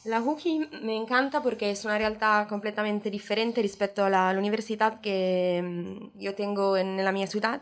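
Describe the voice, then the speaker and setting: Speaking with an Italian accent, a woman holds a medium pitch and fairly even intonation. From Italy, Genoa. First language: Italian (speaking Spanish). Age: 20s. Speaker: exchange student. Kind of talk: casual chat. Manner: halting.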